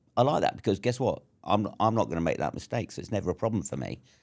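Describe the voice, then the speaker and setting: A man with a southern English accent and lively intonation, on a very clean recording with a silent background. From southern England (Surrey). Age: 60s. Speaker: entrepreneur and army veteran. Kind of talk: casual interview chat.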